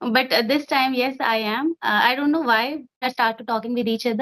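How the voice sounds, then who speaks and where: A woman speaks with an Indian accent at a high pitch. Her intonation stays fairly even. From India (Uttarakhand). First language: Hindi. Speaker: English learner. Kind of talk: casual conversation practice.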